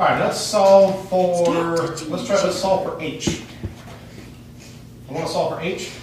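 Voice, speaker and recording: Against noticeable background noise, a man with a high pitch speaks at a fairly slow pace with fairly even intonation and long, frequent pauses. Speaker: math teacher. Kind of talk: classroom math lesson.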